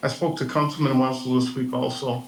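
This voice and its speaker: A man at medium pitch with fairly even intonation, plus audible room echo and noticeable background noise. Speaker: veteran, public commenter. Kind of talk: public comment at council meeting. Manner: halting.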